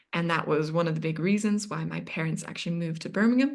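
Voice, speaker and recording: With a North American accent, a woman talks at a very fast pace amid audible room echo. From Yemen. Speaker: interview guest, recent psychology graduate. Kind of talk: podcast interview.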